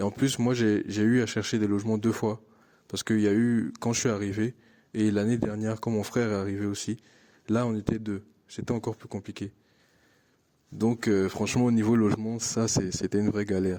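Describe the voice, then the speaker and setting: A man with an Ivorian accent talks in a fairly low, dark, mellow voice with monotone, flat intonation and long, frequent pauses, on a very clean recording with a silent background. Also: fairly quick pace. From Ivory Coast. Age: 20s. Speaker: international student. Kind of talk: interview testimony. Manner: hesitant, many fillers and repetitions.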